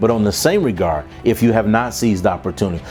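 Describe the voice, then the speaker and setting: A man with an energetic tone at a fairly quick pace, music in the background. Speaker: keynote speaker and professional development trainer. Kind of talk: keynote talk to a professional audience. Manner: energetic, conversational, motivational.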